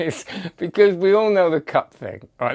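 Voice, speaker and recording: A man is speaking. Hardly any sound comes from behind him. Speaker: magic product reviewer. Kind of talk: casual review commentary. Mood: amused, chatty. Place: home room. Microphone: lapel.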